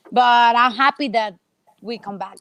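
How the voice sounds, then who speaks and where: A woman with a high pitch and a Spanish accent talks at a fairly slow pace with ordinary pitch variation, the sound dry and close with no echo. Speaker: professional racquetball player. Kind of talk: interview. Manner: halting.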